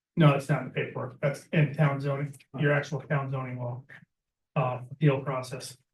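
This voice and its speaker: Somewhat breathy and fairly high in pitch, a man speaks with monotone, flat intonation. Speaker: applicant at town meeting. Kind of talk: public meeting debate. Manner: fast.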